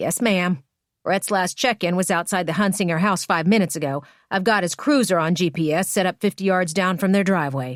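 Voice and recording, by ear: In a quiet setting, a natural voice reads text aloud.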